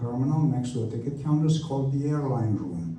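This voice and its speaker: A man with a Romanian accent speaks at a medium pitch with lively intonation. The room echo is audible. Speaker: airport official. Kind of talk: community meeting Q&A.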